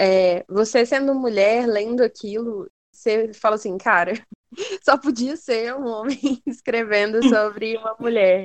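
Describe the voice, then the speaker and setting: A woman's fairly high-pitched voice, very slow in pace, with ordinary pitch variation. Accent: Minas Gerais. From Belo Horizonte, Brazil. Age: 20s. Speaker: podcast host, writer. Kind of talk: casual chat.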